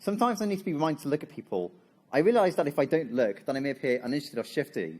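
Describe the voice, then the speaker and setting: A man's fairly high voice with very wide pitch swings, vocal fry and a very fast pace, on a very clean recording with a silent background. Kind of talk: seminar talk. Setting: stage with audience. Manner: halting.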